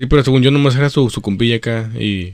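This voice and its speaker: The speech moves at a fairly quick pace in a normal speaking voice. Its pitch variation is ordinary. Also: man. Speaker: podcast co-host. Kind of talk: casual chat.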